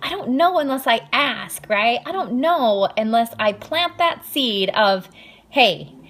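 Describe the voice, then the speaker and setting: Over noticeable background noise, a woman with a high pitch speaks very slowly, her voice swinging very widely in pitch. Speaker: fitness coach recruiting team members. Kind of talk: live social media training talk. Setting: home, live stream. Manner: halting, many filler ums.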